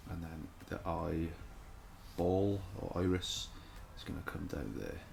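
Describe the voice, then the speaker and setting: A man mumbling at a fairly slow pace, very deep and low in pitch, with ordinary pitch variation, noticeable background noise and audible room echo. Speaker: caricature artist. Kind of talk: drawing tutorial. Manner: thinking aloud, mumbling to self; casual, hesitant.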